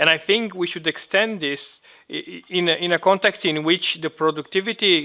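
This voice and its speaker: Speaking with a Romanian accent, a man uses a high pitch, fairly even intonation and a moderate pace. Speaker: trade unionist. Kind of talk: meeting intervention. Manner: halting.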